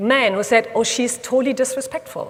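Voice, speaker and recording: Against noticeable background noise, a woman with a German accent speaks at a high pitch. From Germany. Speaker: speaker on women in leadership. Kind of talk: conference talk. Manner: blunt.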